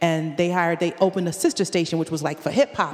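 A woman with an American accent speaks very fast in a fairly low voice over noticeable background noise. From Connecticut, US; Jamaican family. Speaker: reggae artist and educator. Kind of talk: casual interview chat.

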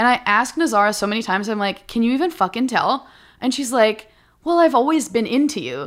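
A woman with an American accent, fairly high pitch, an animated tone and lively intonation at a very fast pace. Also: very clean recording, silent background. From Minnesota. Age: 30s. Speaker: stand-up comedian. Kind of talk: casual chat.

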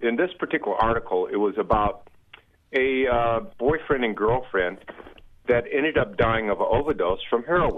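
Here is an unremarkable speaking voice, a man at medium pitch with lively intonation. He keeps a moderate pace and very even loudness. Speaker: caller. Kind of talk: call-in comment. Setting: phone call.

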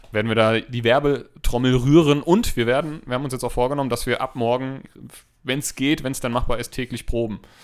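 At a fairly quick pace, a man with a normal speaking voice and medium pitch talks in fairly even intonation. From Hesse, Hanau. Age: 30s. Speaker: podcast co-host, nursery teacher. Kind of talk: casual chat. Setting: home recording room.

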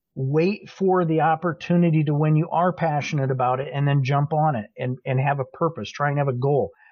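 A somewhat breathy man speaks at a moderate pace, his fairly high pitch showing ordinary variation. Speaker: social media marketing director and industry speaker. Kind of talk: casual interview chat. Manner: rambling, talkative.

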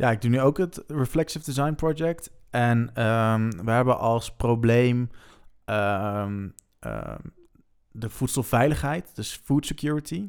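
The recording is very clean, with a silent background. A man with a medium pitch speaks very slowly, with ordinary pitch variation. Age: 20s. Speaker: student and drummer. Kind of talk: podcast interview.

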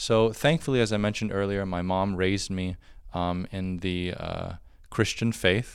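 In a very clean recording with a silent background, a man with an American accent uses a normal speaking voice, a fairly low pitch, fairly even intonation and a moderate pace. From Florida, US. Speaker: monk and priest. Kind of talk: testimony. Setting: monastery.

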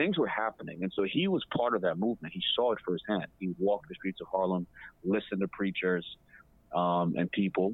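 A man talks at a fairly quick pace with an unremarkable speaking voice, a fairly low pitch and ordinary pitch variation. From Ghana, raised in Botswana and the US. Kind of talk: casual interview. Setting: remote call.

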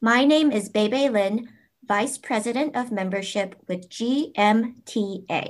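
On a very clean recording with a silent background, a woman speaks in a normal speaking voice at a fairly high pitch, with ordinary pitch variation. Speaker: podcast host and music teachers association officer. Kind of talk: interview questions, casual professional.

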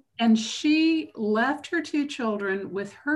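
A woman with an American accent speaks at a very slow pace and a fairly high pitch. Her voice is somewhat breathy, and the background is quiet. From US South, Macon, Georgia. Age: 60s. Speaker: geologist. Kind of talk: interview.

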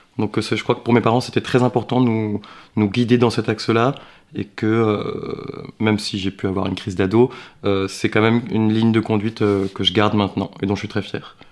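Fairly low pitch and monotone, flat intonation from a man. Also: moderate pace. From France. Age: 30s. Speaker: actor. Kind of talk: interview. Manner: hesitant, many fillers.

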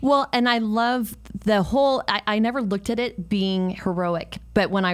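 A woman with an American accent speaks in a plain, everyday voice at a moderate pace, with ordinary pitch variation. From San Francisco, US. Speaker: talk show host and real estate agent. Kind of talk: interview. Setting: live video stream.

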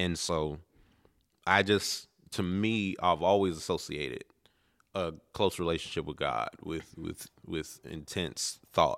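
In a very clean recording with a silent background, a man with an American accent speaks very slowly at a very deep, low pitch, with vocal fry and ordinary pitch variation. He leaves long, frequent pauses. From Maryland, Baltimore area. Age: 30s. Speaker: minister. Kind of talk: casual interview. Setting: on location.

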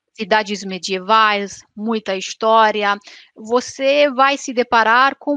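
In a Romanian accent, a woman with a fairly high pitch and a bright, sharp tone speaks with lively intonation, the sound dry and close with no echo against a quiet background. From Romania, Transylvania. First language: Romanian (speaking Portuguese). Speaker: YouTuber. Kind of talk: interview.

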